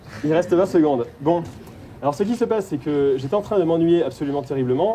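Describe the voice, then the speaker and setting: Very fast speech from a man with lively intonation, over noticeable background noise. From France, Haute-Saône. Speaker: performer of an activist lecture, former engineer. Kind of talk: participatory stage lecture. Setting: stage with audience.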